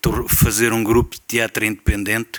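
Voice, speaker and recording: A man's monotone, flat delivery. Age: 70s. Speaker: theatre veteran. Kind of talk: round-table talk. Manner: hesitant fillers.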